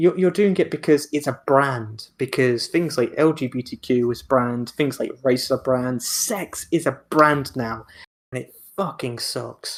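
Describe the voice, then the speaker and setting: The speech moves at a fairly slow pace, with ordinary pitch variation. Its loudness swings widely. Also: man, fairly high pitch for a man. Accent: Welsh. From Wales. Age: 20s. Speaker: podcast host. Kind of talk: casual chat. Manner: animated; stuttering, mumbling.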